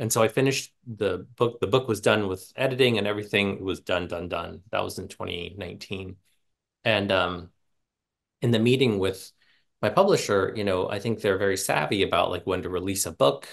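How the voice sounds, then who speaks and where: A man with an American accent at a moderate pace, ordinary pitch variation, and a quiet background. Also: fairly low pitch for a man. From central Pennsylvania. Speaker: author and Latin teacher; Latin teacher. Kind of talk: book talk. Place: home room. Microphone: earbuds.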